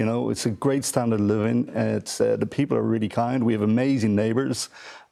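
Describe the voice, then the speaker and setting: With a Dublin accent, a man talks very fast at a medium pitch and with ordinary pitch variation. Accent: Dublin Irish. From Ireland, Dublin. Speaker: theatre executive producer. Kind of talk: TV panel discussion.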